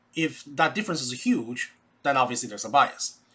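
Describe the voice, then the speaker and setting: A man with a Chinese accent speaks at a moderate pace in a fairly high, bright and sharp voice, his pitch swinging very widely. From China. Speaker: educator, YouTube channel host. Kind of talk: casual educational talk. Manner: animated, conversational. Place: home room. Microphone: webcam.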